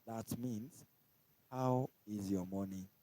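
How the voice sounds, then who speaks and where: A man with a Kenyan accent speaks at a very slow pace in a fairly low pitch. His tone is dark and mellow, his intonation fairly even. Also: dry, close sound with no echo. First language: Kikuyu. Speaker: language teacher on live stream. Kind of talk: tutorial. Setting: live stream.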